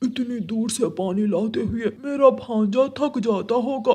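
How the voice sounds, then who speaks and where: A man's cartoonish character voice, extremely high in pitch, at a fairly slow pace. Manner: casual, persuasive.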